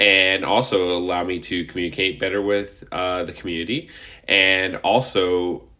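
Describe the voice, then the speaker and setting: A man with a very deep, low pitch speaks at a moderate pace in a bright, sharp tone. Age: 30s. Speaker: podcast host. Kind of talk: casual solo monologue. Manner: animated.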